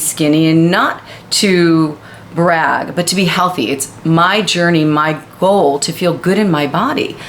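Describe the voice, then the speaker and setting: Noticeable background noise runs under a woman's fairly low voice. She speaks fairly slowly with ordinary pitch variation. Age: 50s. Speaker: fitness professional and video co-host. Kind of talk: casual chat.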